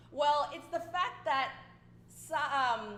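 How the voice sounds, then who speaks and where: The speaker has an Australian accent and ordinary pitch variation, with audible room echo. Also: woman. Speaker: dragon boat coach. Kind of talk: interview.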